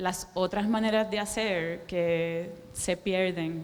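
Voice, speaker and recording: With a Caribbean Spanish accent, the speaker keeps a fairly even intonation over noticeable background noise. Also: woman. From Puerto Rico. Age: 40s. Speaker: visual artist. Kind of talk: public talk. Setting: stage with audience. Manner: slowed down on request.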